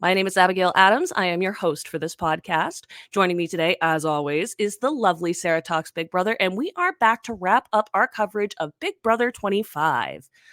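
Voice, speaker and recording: Recorded dry and close with no echo, a woman speaks at medium pitch and a fairly quick pace, hardly pausing, with ordinary pitch variation. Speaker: podcast host. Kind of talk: casual chat. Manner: fast.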